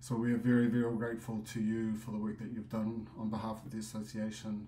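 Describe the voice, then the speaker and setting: The room echo is audible as a man talks at a fairly quick pace. His pitch is medium. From New Zealand. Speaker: association president. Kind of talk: business meeting report.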